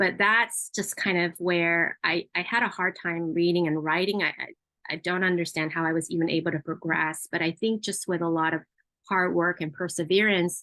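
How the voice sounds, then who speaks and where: Here a woman speaks with an American accent at a moderate pace. Her pitch is fairly low and her intonation fairly even. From Southern California (Los Angeles), Cambodian refugee family. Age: 40s. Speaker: community education advocate. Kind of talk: personal testimony presentation with slides. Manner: halting, many filler words.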